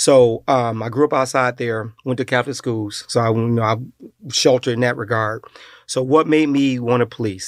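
An unremarkable speaking voice with an American accent moves at a fairly quick pace with fairly even intonation. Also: man. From US Midwest, Detroit area, Michigan. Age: 50s. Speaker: retired police officer. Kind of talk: casual interview.

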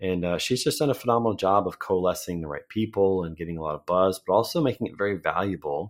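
A man with an American accent speaks at a very fast pace in a very deep, low voice. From Missouri, St. Louis area. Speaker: sales and marketing consultant. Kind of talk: casual interview chat.

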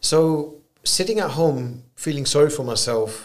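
A man is speaking here. He talks with a British accent. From UK, Punjabi Indian family. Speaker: entrepreneur. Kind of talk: interview.

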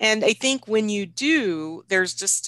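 A woman with an American accent speaks in a bright, sharp tone over a quiet background. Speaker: nonprofit chief executive. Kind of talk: interview conversation.

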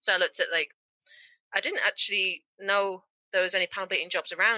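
A woman speaks at medium pitch in a Yorkshire accent. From Yorkshire, northern England. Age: 20s. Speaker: car body repair technician. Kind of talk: interview. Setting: remote call.

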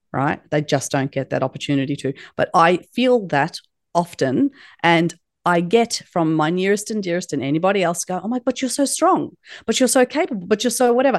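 A woman with an Australian accent at a medium pitch, fairly quick, with very wide pitch swings, in a dry, close sound with no echo and a quiet background. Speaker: leadership guest speaker. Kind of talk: podcast interview.

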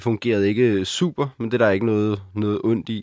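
In a plain, everyday voice, a man talks at a fairly low pitch and moderate pace with ordinary pitch variation, captured in a very clean recording with a silent background and a dry, close sound with no echo. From Copenhagen, Denmark (Christianshavn). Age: 20s. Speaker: student without a fixed home. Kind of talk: interview.

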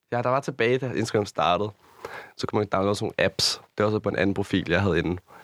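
A man talks at a very fast pace in a fairly low voice, and the sound is dry and close with no echo. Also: ordinary pitch variation, very clean recording, silent background. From Copenhagen area, Denmark. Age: 20s. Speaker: influencer and nightclub promoter. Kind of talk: casual interview.

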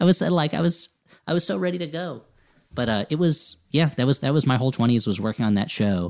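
A man with an American accent talks at a very fast pace in a fairly high pitch, his voice swinging very widely, on a very clean recording with a silent background. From US Northeast, New Jersey. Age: 30s. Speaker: comedy writer and podcaster. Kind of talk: casual interview chat. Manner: halting, many false starts.

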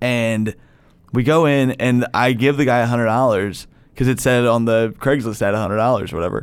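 Delivered at a fairly quick pace, an ordinary speaking voice holds fairly even intonation and very even loudness. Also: man, medium pitch for a man. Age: 30s. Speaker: comedian. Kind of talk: casual chat.

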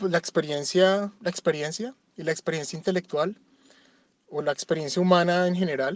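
The man's voice is high in pitch, with ordinary pitch variation. The sound is dry and close, with no echo. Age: 40s. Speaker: father, podcast interviewee. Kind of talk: reflective monologue answer.

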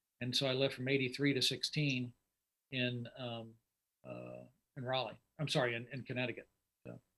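A man with an American accent, medium in pitch, monotone and flat, at a moderate pace broken by long, frequent pauses. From Indianapolis, US Midwest. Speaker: drag racer. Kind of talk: casual chat.

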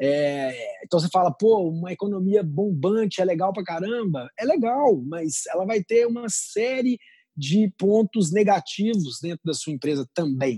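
A man speaks at a fairly slow pace with hardly any pauses, his pitch high and his tone dark and mellow. His intonation is lively, and the sound is dry and close with no echo. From Brazil, Minas Gerais and São Paulo interior. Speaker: entrepreneur. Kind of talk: interview.

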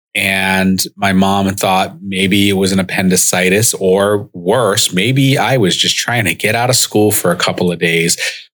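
A man with an American accent and an ordinary speaking voice talks at a fairly slow pace and a fairly low pitch, with fairly even intonation, very even loudness and hardly any pauses. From US Northeast, Rhode Island (Central Falls). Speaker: podcast host. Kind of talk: personal storytelling monologue. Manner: casual with frequent fillers.

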